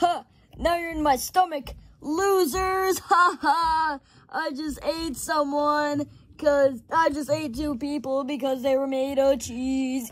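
A cartoonish character voice, high-pitched and at a fairly slow pace. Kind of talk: improvised puppet comedy skit.

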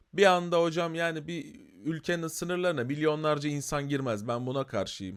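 An unremarkable speaking voice from a man, moderate in pace and ordinary in pitch variation, on a very clean recording with a silent background. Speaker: YouTuber commenting on current affairs. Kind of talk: casual commentary video. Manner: conversational, filler-heavy.

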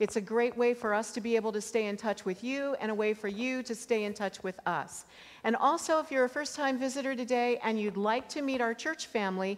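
A woman talks at a fairly quick pace with hardly any pauses and ordinary pitch variation. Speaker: pastor. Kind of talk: church announcements. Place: church.

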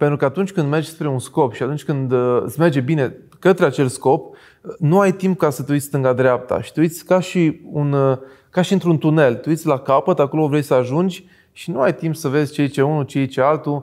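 A man's fairly high voice at a fairly quick pace, with fairly even intonation and a quiet background. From Romania. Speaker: entrepreneur; interview guest. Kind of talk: interview. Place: studio. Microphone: lapel.

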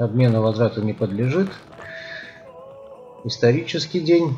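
Over faint background music, a man talks at a fairly slow pace. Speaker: cycling vlogger. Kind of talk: casual vlog chat. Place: street. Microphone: phone near.

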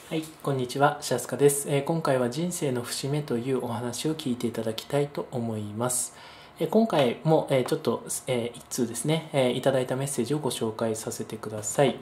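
A man speaks at a medium pitch with ordinary pitch variation and a somewhat breathy quality. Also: fairly quick pace. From Japan, Kyushu (Kagoshima). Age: 30s. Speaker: educator and investor giving talks. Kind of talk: monologue talk to camera. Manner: frequent filler hesitations.

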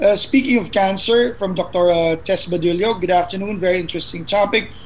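A man talks with a high pitch at a moderate pace, his pitch shifting in an ordinary way.

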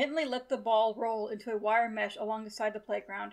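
Intonation is fairly even here. Someone is reading aloud in a natural voice.

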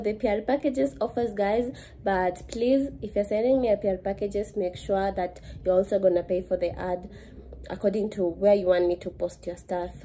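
Over light background noise, a woman speaks at a moderate pace in a dark, mellow tone with ordinary pitch variation. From Kenya. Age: 20s. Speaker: lifestyle vlogger. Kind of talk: casual vlog. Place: home room. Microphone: phone near.

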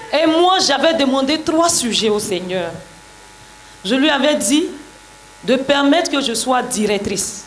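A woman's high-pitched voice at a very slow pace, with very wide pitch swings, long, frequent pauses and light background noise. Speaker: church member giving testimony. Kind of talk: testimony. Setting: church. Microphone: handheld.

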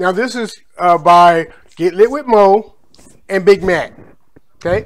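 Pitched high, a man speaks with ordinary pitch variation. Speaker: food vlogger. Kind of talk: casual vlog chat. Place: kitchen. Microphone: phone near.

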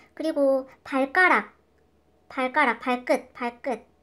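Woman speaking, very clean recording, silent background. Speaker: English teacher. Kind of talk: tutorial. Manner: slow.

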